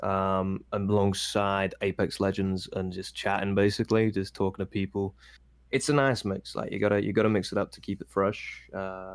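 Very cleanly recorded with a silent background, a man with a British accent speaks at a fairly low pitch. His delivery is monotone and flat, at a moderate pace. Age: 20s. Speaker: Twitch streamer. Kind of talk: casual chat.

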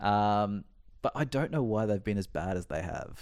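An Australian-accented man with a fairly low pitch and lively intonation. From Queensland, Australia. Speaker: basketball fan guest. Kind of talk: casual chat.

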